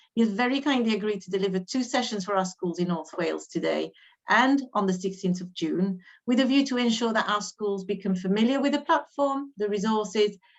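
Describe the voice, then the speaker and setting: Speaking at a fairly quick pace, a woman has a slight French accent. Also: medium pitch for a woman, ordinary pitch variation. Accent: slight French accent when speaking English. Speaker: education adviser hosting teacher training. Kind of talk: webinar introduction.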